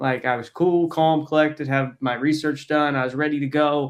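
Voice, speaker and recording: In a very clean recording with a silent background, a man with a plain, everyday voice talks at a moderate pace, his pitch fairly high with ordinary variation. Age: 20s. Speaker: podcast host. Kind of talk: casual chat.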